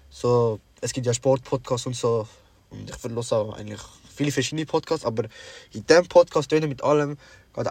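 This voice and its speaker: The speech moves at a fairly quick pace with fairly even intonation. The voice sounds somewhat breathy. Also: man. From Sri Lanka. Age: young. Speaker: podcast co-host. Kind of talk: casual chat.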